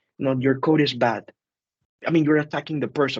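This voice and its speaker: A man with a Spanish accent. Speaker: teacher. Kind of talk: group discussion. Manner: hesitant, many fillers.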